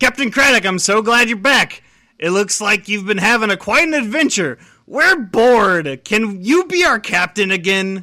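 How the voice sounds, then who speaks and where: In a put-on character voice pitched high, a man speaks at a moderate pace on a very clean recording with a silent background. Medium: read story.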